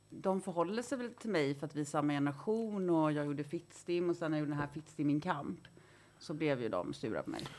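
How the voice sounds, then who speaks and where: A woman with a very deep, low voice speaks with lively intonation. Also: fairly quick pace. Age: 40s. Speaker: journalist and feminist writer. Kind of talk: casual chat.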